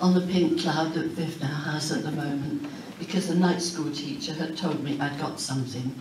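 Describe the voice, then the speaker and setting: Over noticeable background noise and audible room echo, a woman with a very deep, low pitch talks at a moderate pace with ordinary pitch variation. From Huddersfield, Yorkshire, England. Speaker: author. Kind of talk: keynote speech. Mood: warm, nostalgic. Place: hall. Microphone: camera far.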